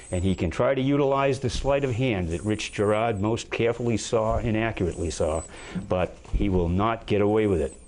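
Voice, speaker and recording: Lively intonation marks this man's speech. His pace is moderate and his pitch medium. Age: 60s. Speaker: political candidate. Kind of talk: political debate. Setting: TV studio. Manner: halting, many fillers.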